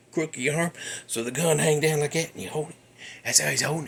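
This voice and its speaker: Against noticeable background noise, a man with a fairly high pitch talks with a Southern US accent. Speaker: podcast host. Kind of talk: casual storytelling. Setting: home garage. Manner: less animated than usual.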